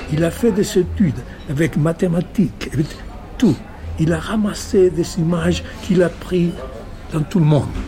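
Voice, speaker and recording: A man speaks fairly slowly in a high pitch with ordinary pitch variation. He takes long, frequent pauses while music plays in the background. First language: Spanish (speaking French). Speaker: novelist. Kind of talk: interview. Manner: halting.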